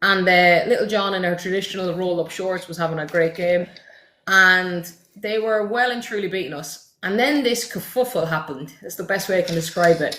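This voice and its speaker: A woman talks in an Irish accent at a moderate pace. Her medium-pitched voice has a bright, sharp tone and ordinary pitch variation. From Ireland. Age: 30s. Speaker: football content creator. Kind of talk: casual chat. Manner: animated.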